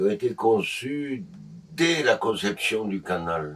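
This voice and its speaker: The speaker is a man. He swings his pitch very widely. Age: 70s. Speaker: boat owner, retired educator. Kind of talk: interview. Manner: halting.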